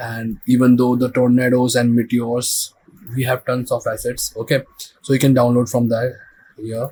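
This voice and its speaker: A man with a non-native accent speaks at medium pitch in a somewhat breathy voice. His intonation is monotone and flat. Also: moderate pace. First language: not English. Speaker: visual effects tutorial creator. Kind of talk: tutorial. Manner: halting.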